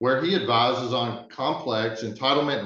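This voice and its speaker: Speaking with a Southern US accent, a man uses ordinary pitch variation. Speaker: webinar moderator, sustainability director. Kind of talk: webinar presentation. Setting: online webinar.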